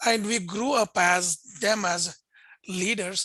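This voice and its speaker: With a Pakistani accent, a man uses a raised, projected voice with a bright, sharp tone and fairly even intonation. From India, Bangalore. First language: Urdu. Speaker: interfaith think tank director and host. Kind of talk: video interview conversation.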